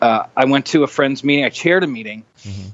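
Ordinary pitch variation marks a man's normal speaking voice with an American accent. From US Pacific Northwest (Rainier, Washington). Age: 30s. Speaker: musician in recovery. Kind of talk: interview testimony.

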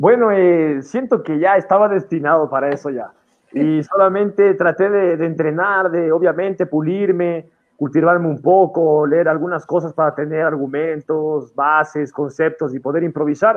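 In a plain, everyday voice, a man speaks at a moderate pace with a fairly high pitch and ordinary pitch variation. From Ecuador, Quito. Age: 20s. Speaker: freestyle rapper. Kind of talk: casual interview. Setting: studio.

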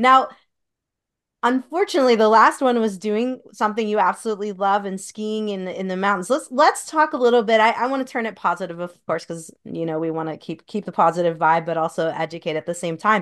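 Over a quiet background, a woman with an unremarkable speaking voice and medium pitch talks at a fairly quick pace with lively intonation. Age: 40s. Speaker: podcast host, doctor. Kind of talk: casual interview conversation.

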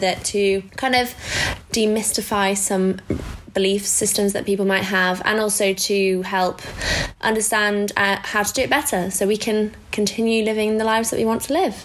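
Over noticeable background noise, a woman talks at a moderate pace with a medium pitch and very even loudness. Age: 20s. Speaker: podcast co-host. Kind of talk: casual chat.

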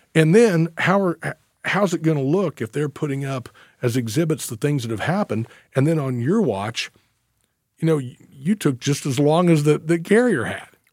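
A man with an American accent has an unremarkable speaking voice, a fairly high pitch and lively intonation at a moderate pace. The recording is very clean with a silent background and a dry, close sound with no echo. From US Midwest, northeast Missouri. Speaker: trial attorney. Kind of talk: casual chat. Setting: studio.

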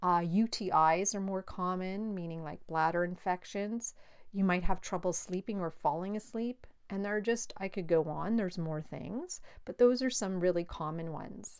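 With an ordinary speaking voice, a woman at a medium pitch talks at a moderate pace with ordinary pitch variation on a very clean recording with a silent background. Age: 50s. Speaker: life coach and podcast host. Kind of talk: solo educational monologue.

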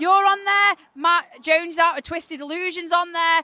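In a raised, projected voice at an extremely high pitch, a woman speaks at a moderate pace with fairly even intonation. The sound is dry and close, with no echo. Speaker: podcast interviewer. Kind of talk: casual interview. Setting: outdoors in the rain at a festival.

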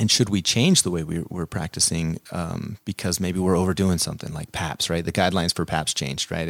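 A man with an American accent speaks very fast in a very deep, low voice with fairly even intonation. The recording is very clean, with a silent background. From central Nevada, US. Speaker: family physician. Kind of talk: interview.

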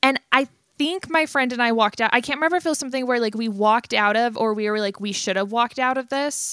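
Speaking very fast in a dry, close sound with no echo, a woman has a high-pitched, bright and sharp voice, an animated tone and ordinary pitch variation. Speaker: podcast co-host. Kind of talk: casual chat.

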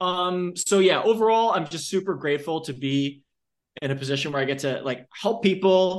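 Ordinary pitch variation marks this man's ordinary speaking voice. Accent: American. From Long Island, New York. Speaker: fitness coach and company founder. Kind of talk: interview.

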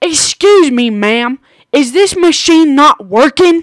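A female-sounding put-on character voice, high-pitched, at a fairly slow pace. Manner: polite, meek.

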